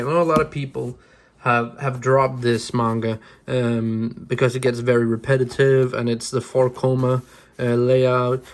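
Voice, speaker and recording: A man with a Danish accent is speaking. His pitch is medium and his pace moderate. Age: 20s. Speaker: manga YouTuber. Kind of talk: casual vlog review. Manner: halting, many restarts and fillers.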